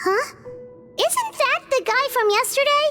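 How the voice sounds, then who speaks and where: Over clear music in the background, a woman does a squeaky put-on character voice at an extremely high pitch and a fairly slow pace. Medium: video game. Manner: gentle, soft-spoken.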